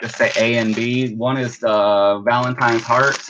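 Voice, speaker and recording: A man talks at a fairly slow pace in a monotone, flat intonation. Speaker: online live sale seller. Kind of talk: live selling stream. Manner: loud.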